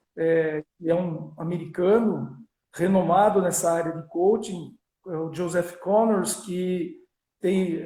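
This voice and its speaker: In a strong São Paulo interior accent, a man speaks very slowly at a high pitch. His intonation is monotone and flat, with audible room echo. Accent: strong Piracicaba. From Brazil, Piracicaba (São Paulo state). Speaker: business coach and lecturer. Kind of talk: live-stream interview. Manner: halting, many fillers.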